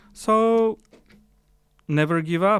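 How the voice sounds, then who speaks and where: A man speaks with a Ukrainian accent. His pitch variation is ordinary. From Ukraine. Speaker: philosopher. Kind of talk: interview conversation. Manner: halting, with restarts.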